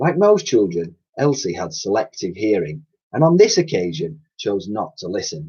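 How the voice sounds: At a moderate pace, a man with a low pitch speaks in a slightly mellow tone that carries a husky, rough edge, his pitch making big swings.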